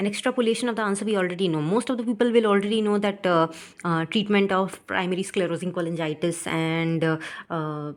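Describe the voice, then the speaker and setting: A woman's medium-pitched voice at a very fast pace, ordinary pitch variation, very clean recording with a silent background. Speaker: medical exam aspirant vlogger. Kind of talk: casual vlog review of test. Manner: hesitant, many fillers.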